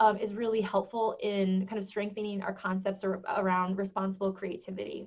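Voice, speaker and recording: At a fairly quick pace, a woman talks with a somewhat breathy voice at a medium pitch. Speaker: education technology director and presenter. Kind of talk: webinar presentation. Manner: fast.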